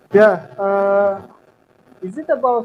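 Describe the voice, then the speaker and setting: The man has a high voice, and its pitch moves in an ordinary way. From Turkmenistan. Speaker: university student. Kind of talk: interview. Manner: halting.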